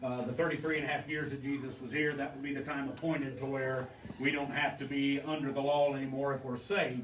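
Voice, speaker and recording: With monotone, flat intonation, a man speaks at a moderate pace amid audible room echo and light background noise. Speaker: pastor. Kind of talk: sermon. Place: church. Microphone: camera far.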